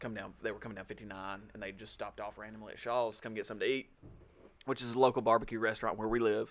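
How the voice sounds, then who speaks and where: In a Southern US accent, a man speaks in a fairly low pitch with monotone, flat intonation and big swings in loudness. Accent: Southern drawl, slow and twangy. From Alabama, small town. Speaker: podcast co-host. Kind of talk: casual chat.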